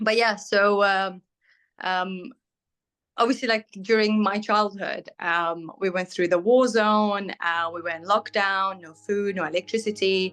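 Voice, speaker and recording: Over a quiet background, a woman with a medium pitch speaks at a fairly slow pace with fairly even intonation and big swings in loudness. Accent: British. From Syria. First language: Arabic. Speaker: bridal fashion designer. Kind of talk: interview. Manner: hesitant, many fillers.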